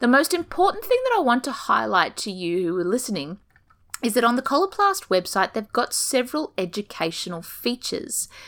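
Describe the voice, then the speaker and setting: Speaking at a fairly quick pace, a woman with a high pitch sounds enthusiastic, her pitch swinging very widely. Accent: Australian. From Australia. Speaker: ostomy nurse and podcast host. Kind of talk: informative podcast monologue, casual. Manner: chatty, humorous, enthusiastic.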